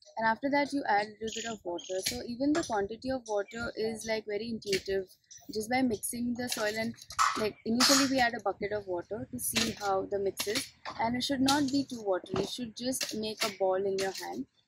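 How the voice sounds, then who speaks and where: Loud background noise runs under a woman speaking at a fairly quick pace with ordinary pitch variation. The sound is dry, with no echo. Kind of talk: interview answer. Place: garden.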